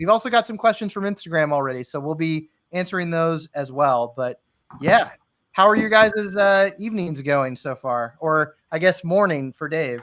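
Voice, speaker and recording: In a plain, everyday voice, a man with an American accent talks at a moderate pace, his fairly high pitch carrying lively intonation. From US, Florida. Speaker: live stream host. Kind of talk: casual chat.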